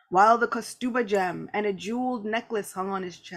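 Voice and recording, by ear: Ordinary pitch variation in a reading-aloud, natural voice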